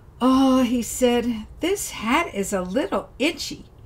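A somewhat breathy woman's voice. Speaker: storyteller. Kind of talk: fairy-tale narration of a folk story. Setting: video channel, solo recording. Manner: warm, gentle storyteller's pacing.

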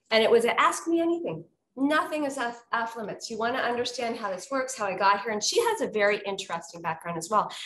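Talking at a very fast pace, a woman with a fairly high pitch makes very wide pitch swings amid audible room echo and light background noise. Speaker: conference content director. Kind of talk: casual chat. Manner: animated. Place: office. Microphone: webcam.

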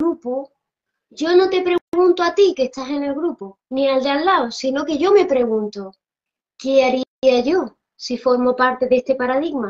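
A woman's high-pitched voice, fairly slow and with lively intonation, over a quiet background. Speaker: spiritual teacher. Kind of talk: interview. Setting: Instagram live video call. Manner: fluent, expansive explainer. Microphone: video call.

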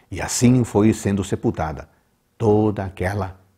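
Speaking at a fairly slow pace, a man has a fairly low pitch and a dark, mellow, somewhat breathy tone. The background is quiet. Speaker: presenter. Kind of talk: devotional Bible commentary. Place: home room. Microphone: lapel.

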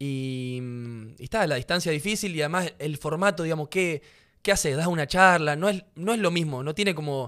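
Against a quiet background, a man speaks in a normal speaking voice, fairly high in pitch, with ordinary pitch variation. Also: moderate pace. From Rosario, Argentina; Argentina. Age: 20s. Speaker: professional footballer; podcast guest. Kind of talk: casual interview conversation. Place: studio. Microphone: studio mic.

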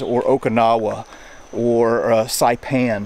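A man's voice, dry with no echo. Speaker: history travel host. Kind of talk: casual vlog commentary. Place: forest. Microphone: phone near.

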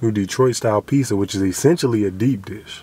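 With ordinary pitch variation and a dry sound with no echo, a man talks at a moderate pace over light background noise. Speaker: food review vlogger. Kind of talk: casual vlog chat.

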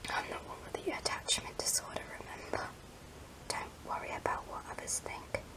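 The voice is a whisper delivered at a moderate pace. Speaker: ASMR creator. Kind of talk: ASMR whispered talk to camera. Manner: soft, whispered, emotional. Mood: wistful, emotional. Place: home room. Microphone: phone near.

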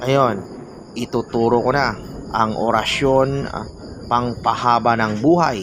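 A man at medium pitch speaks at a very slow pace with fairly even intonation. There is audible room echo and noticeable background noise. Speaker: folk magic YouTuber. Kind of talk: reading viewer comments and teaching spells.

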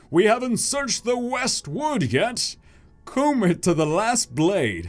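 In a very clean recording with a silent background, a man performs a put-on character voice at a high pitch, fairly slow, with very wide pitch swings. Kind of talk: comic villain voice. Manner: commanding, gruff.

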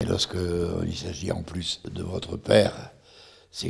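A man with a very deep, low pitch. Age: 80s+. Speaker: war witness. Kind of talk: interview answer. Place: home room. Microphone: handheld.

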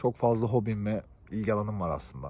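At a moderate pace, a man talks with a dark, mellow tone and a fairly low pitch. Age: 20s. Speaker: YouTuber, tech worker. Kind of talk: vlog monologue.

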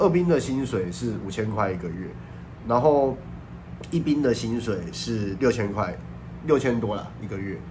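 Lively intonation marks this man's moderate pace, broken by long, frequent pauses, with audible room echo around him. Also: medium pitch for a man. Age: 30s. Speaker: YouTuber. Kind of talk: casual vlog monologue.

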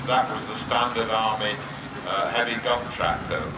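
Speech at a moderate pace comes through over noticeable background noise. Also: man. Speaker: arena commentator. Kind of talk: commentary. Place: open country.

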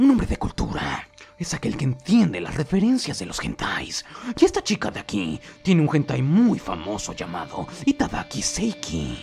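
Over faint background music, a man uses a put-on character voice, fairly high in pitch, at a moderate pace. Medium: dub. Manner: playful, eager.

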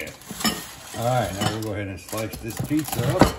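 Speech at a moderate pace comes through loud background noise. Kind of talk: cooking tutorial commentary. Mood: cheerful, relaxed. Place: kitchen. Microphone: camera far.

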